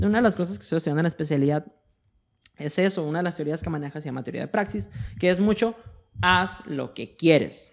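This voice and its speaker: Speaking very fast in a fairly high voice with lively intonation, a man leaves long, frequent pauses. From Mexico, Sonora. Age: 20s. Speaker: psychologist. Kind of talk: casual chat.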